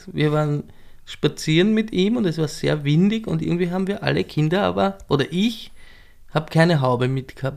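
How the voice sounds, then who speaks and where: Pitch swings very widely in this voice. The delivery keeps a moderate speed. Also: man, fairly high pitch for a man. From Lower Austria, southern Weinviertel. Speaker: cabaret performer and DJ. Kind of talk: casual interview chat.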